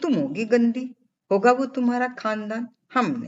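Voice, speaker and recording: Putting on a whiny character voice, a man talks at a moderate pace with an extremely high pitch. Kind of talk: drawn-out words. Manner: sulky, whiny, nagging.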